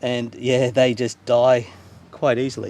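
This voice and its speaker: The voice belongs to a man. The sound is dry, with no echo. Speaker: YouTuber salvaging items from the dump. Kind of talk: casual vlog talking to camera; casual vlog chat. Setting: at home, near neighbour's porch. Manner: hesitant, many fillers; quieter when neighbour is near. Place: garden. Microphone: phone near.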